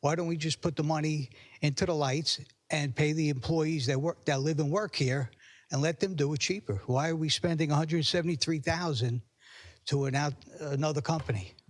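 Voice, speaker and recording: A somewhat breathy man talks at a fairly quick pace with very even loudness, in a very clean recording with a silent background. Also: fairly high pitch for a man, ordinary pitch variation. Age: 60s. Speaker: public commenter at council meeting. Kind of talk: public comment at town council meeting. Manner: halting, many repetitions and fillers.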